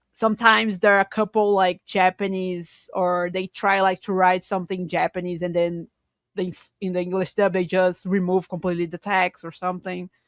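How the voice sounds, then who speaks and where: A woman speaks with a Portuguese accent at medium pitch, her intonation monotone and flat. The recording is very clean with a silent background and a dry, close sound with no echo. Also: moderate pace. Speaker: podcast co-host. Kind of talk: casual chat.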